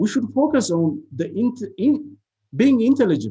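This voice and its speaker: With an Ethiopian accent, this voice carries a dark, mellow tone and very wide pitch swings. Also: man. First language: non-English (Ethiopian language). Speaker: university lecturer. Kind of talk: seminar talk. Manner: halting, many fillers.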